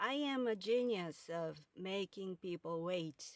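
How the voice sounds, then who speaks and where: A woman speaks at a very slow pace in a Japanese accent. Her medium pitch shows ordinary variation, and the sound is dry and close with no echo. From Japan, Kyoto. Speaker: podcast host and author. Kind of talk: casual monologue. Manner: halting.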